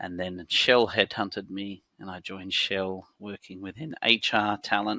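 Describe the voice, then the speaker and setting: A man with a fairly low pitch and a bright, sharp tone, at a fairly slow pace with hardly any pauses, fairly even intonation, and big swings in loudness, in a very clean recording with a silent background and a dry, close sound with no echo. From Australia, Sydney. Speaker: company founder. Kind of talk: podcast interview. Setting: studio.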